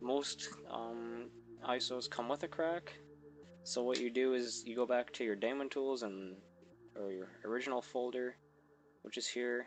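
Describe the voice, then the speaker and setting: A man speaks quietly at a medium pitch and a fairly slow pace. His pitch varies in an ordinary way, and he leaves long, frequent pauses. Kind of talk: software tutorial narration. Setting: mic placed far from mouth.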